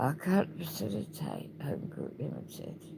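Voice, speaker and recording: The speaker has a British accent. The pace is very slow. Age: 60s. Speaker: video blogger. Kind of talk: personal video diary.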